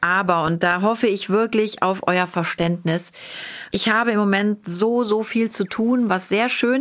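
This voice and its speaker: A woman with an unremarkable speaking voice talks fairly slowly at a medium pitch with ordinary pitch variation. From Cologne, Germany. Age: 40s. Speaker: podcast host. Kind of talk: casual chat.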